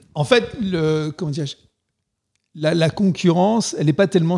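A man at a fairly high pitch, moderate pace and ordinary pitch variation. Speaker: video game company CEO. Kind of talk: interview. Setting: office.

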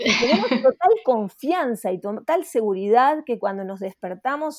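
A woman speaks at a fairly slow pace in a high pitch, with very wide pitch swings. The recording is very clean, with a silent background. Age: 50s. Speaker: astrologer and author. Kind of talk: interview. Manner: hesitant, frequent fillers.

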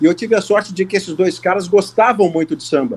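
This man speaks with a high pitch. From Brazil, Porto Alegre (Rio Grande do Sul). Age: 50s. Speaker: sports journalist and commentator. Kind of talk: casual interview chat.

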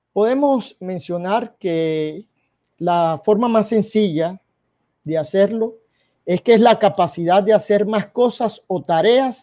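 On a very clean recording with a silent background, a man with a dark, mellow tone and a high pitch speaks at a very slow pace with ordinary pitch variation. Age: 40s. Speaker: cattle rancher. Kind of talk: presentation.

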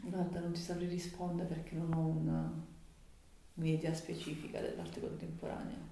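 Amid audible room echo, a woman speaks at a moderate pace with long, frequent pauses. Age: 30s. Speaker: interviewee, local community member. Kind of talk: interview.

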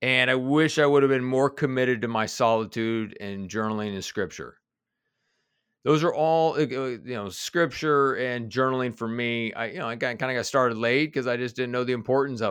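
Over a quiet background, a man with a Midwestern accent talks at a fairly quick pace. His pitch is medium, with ordinary variation. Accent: General American (Midwest). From US Midwest (Kansas City). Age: 40s. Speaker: executive coach and author. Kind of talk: interview conversation.

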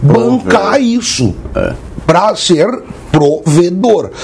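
Very wide pitch swings mark this very slow delivery, set against noticeable background noise. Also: man. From Brazil, interior of São Paulo state (Jaboticabal). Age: 40s. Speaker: podcast co-host. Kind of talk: casual chat.

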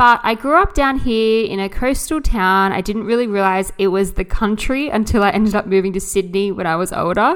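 With an Australian accent, this woman talks at a moderate pace in a medium pitch. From Australia, New South Wales south coast. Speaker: podcast host, mindset coach. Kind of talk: personal monologue.

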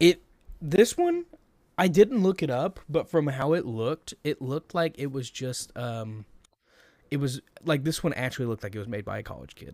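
A man talks at a fairly high pitch with lively intonation and big swings in loudness. The sound is dry and close with no echo, on a very clean recording with a silent background. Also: moderate pace. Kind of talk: casual chat. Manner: rambling, halting, many filler words.

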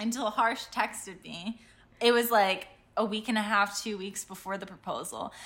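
A woman with an American accent and an ordinary speaking voice speaks at a moderate pace with a fairly high pitch. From Ohio. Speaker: podcast co-host. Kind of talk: casual chat.

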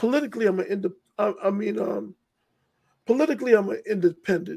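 A high-pitched man speaks with a New York accent and lively intonation. The recording is very clean, with a silent background. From New York, Hollis, Queens. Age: 50s. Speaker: writer and filmmaker. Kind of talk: casual interview.

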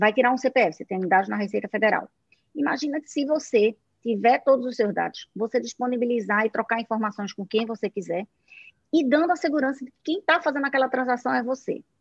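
A woman with a northeastern Brazilian accent talks at a fairly quick pace with lively intonation and a high pitch, the sound dry and close with no echo. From Brazilian Northeast. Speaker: tech company CEO. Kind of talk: live talk show interview.

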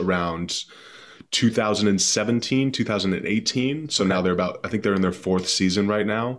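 The recording is very clean and the background silent. With an American accent, a man is talking. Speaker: podcast guest, rugby player.

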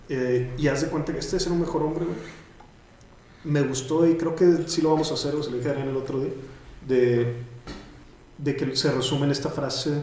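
Audible room echo surrounds speech with fairly even intonation at a fairly quick pace. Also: man. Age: 30s. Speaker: writer and podcaster. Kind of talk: casual interview.

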